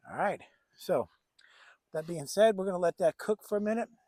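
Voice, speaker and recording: The voice has a dark, mellow tone at a moderate pace, heard as a dry, close sound with no echo. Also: man. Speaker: bushcraft vlogger. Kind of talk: casual outdoor vlog. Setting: outdoors at backyard camp.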